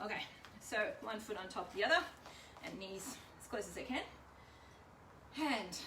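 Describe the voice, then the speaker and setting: Lively intonation and an Australian accent come through at a moderate pace, with audible room echo and noticeable background noise. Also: woman. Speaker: home workout leader. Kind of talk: workout instruction. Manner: casual, chatty.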